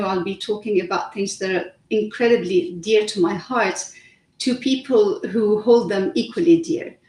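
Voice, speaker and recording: Somewhat breathy and fairly high-pitched, a woman speaks at a moderate pace with lively intonation in a Lebanese accent. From Lebanon. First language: Arabic. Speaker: author. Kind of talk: interview. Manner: hesitant, many fillers.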